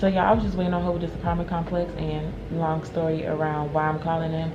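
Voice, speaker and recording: Very fast speech from a woman, with noticeable noise behind it. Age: 20s. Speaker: homeless services case manager. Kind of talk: casual vlog talk to camera. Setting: office. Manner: quiet, low voice.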